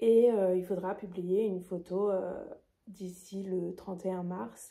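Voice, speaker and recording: The voice belongs to a woman and sits mid-range in pitch. It has a dark, mellow tone. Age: 20s. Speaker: knitting vlogger. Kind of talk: casual vlog presentation. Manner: hesitant, many fillers.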